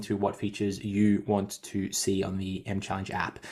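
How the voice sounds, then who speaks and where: This man has an Australian accent. His pitch is fairly low. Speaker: fitness coach and podcast host. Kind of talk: casual podcast chat. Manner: fast.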